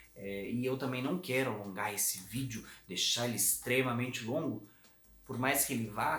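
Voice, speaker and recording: With music in the background and audible room echo, a man speaks at a medium pitch and a moderate pace with ordinary pitch variation. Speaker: communication coach. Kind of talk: tutorial.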